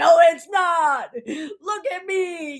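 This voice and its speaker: The voice is a put-on character voice at an extremely high pitch. It comes out with a growl. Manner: menacing.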